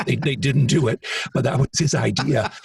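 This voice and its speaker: A man speaks at a moderate pace. The sound is dry and close with no echo, though background noise is noticeable. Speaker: author and singer. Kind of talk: interview conversation.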